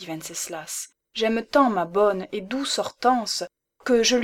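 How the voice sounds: Reading in a natural voice with ordinary pitch variation, the speaker is heard over a quiet background.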